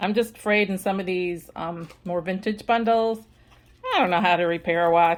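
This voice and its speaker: A woman's unremarkable speaking voice at a fairly quick pace, with fairly even intonation. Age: 50s. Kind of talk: casual show-and-tell video. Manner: casual, with many fillers and restarts.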